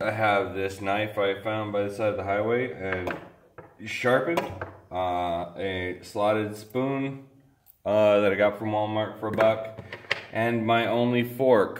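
Over noticeable background noise, a man talks at a fairly slow pace with a fairly low pitch and fairly even intonation. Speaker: home cook vlogger. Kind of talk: cooking tutorial. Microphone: camera far.

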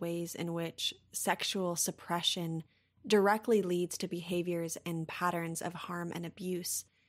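In an American accent and a normal speaking voice, the speaker talks at a moderate pace on a very clean recording with a silent background. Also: woman. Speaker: podcast host. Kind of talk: interview conversation.

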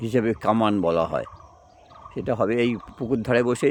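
Against noticeable background noise, a man talks in a medium pitch with fairly even intonation. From West Bengal. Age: old. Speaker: vlogger. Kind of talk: casual vlog. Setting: outdoors.

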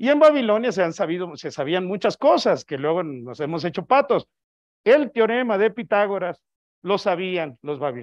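Against a quiet background, a man speaks in a high pitch. His pitch swings very widely. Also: moderate pace. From Mexico. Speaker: astronomer, invited speaker; guest lecturer. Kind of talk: lecture. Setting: auditorium with audience, also streamed on video call. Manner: loud. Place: hall.

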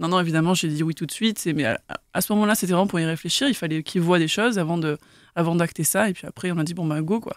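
In a very clean recording with a silent background, a woman talks very fast at a fairly low pitch with ordinary pitch variation. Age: 30s. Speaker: graphic artist. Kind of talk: casual chat.

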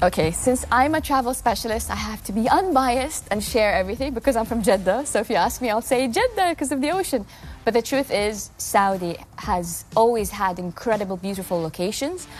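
A woman talks at a fairly quick pace with lively intonation over light background noise. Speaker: talk show guest. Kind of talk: interview answer. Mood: cheerful, laughing often. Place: studio. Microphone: lapel.

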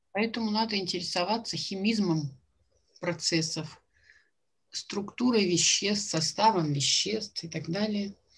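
A woman speaks at a fairly slow pace with long, frequent pauses. Her voice is somewhat breathy, with ordinary pitch variation. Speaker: jury member at a student science fair. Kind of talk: questioning students after presentations. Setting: video call. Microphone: video call.

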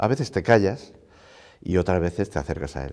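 Over a quiet background, a man with a very deep, low pitch talks at a moderate pace with ordinary pitch variation. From Spain, Segovia province; Spain. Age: 60s. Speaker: university rector; interviewee. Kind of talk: interview. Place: office. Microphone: lapel.

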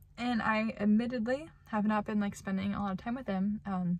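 A woman speaks in a somewhat breathy voice. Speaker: vlogger. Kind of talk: casual vlog chat, reflective faith talk. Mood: reflective, earnest. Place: car. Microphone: phone near.

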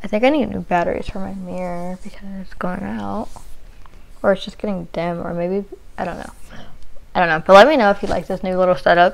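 Her loudness swings widely as a woman talks at a fairly quick pace with ordinary pitch variation. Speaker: beauty vlogger. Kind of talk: casual makeup tutorial chat. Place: home room. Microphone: lapel.

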